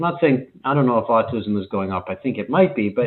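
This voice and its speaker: The man's intonation is lively as he speaks. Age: 60s. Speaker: leadership and HR industry analyst. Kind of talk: conference talk. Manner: halting, many fillers.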